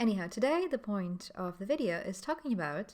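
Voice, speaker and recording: In a very clean recording with a silent background, a woman uses a normal speaking voice at a medium pitch and a moderate pace. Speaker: trainer. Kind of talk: vlog.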